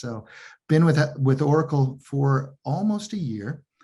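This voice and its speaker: This man's voice sits fairly high and sounds somewhat breathy. His pitch varies in an ordinary way. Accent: American. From US. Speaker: technology sales executive. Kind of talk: interview. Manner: halting, many repetitions.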